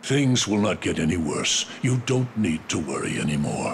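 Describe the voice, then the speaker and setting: In a put-on character voice, a man with a fairly low pitch speaks at a moderate pace over clear background noise. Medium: fan dub. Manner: grave, commanding.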